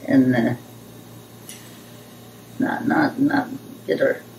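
A woman's voice with very wide pitch swings over light background noise. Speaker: grandmother being interviewed. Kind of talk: interview answer. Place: home room.

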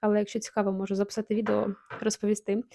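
Close and dry with no echo, a woman's fairly high voice moves at a fairly quick pace with a dark, mellow tone. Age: 30s. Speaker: beauty vlogger. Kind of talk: product review vlog. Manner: animated.

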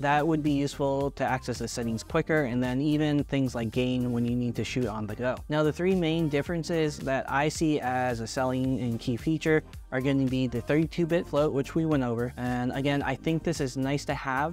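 A man speaks at a fairly quick pace with hardly any pauses and ordinary pitch variation. The sound is dry with no echo, and faint music plays in the background. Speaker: tech reviewer. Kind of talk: product review talk. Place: home room.

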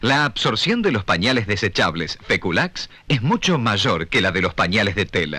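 With a bright, sharp tone and fairly low pitch, a man talks with lively intonation, very even loudness and hardly any pauses. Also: moderate pace. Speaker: announcer. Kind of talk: TV commercial read.

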